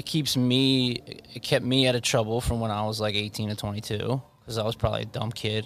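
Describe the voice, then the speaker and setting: A man with an American accent speaks at a medium pitch. His delivery is fairly quick, with monotone, flat intonation. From Long Island, New York. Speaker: college basketball head coach. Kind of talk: casual interview chat. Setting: studio.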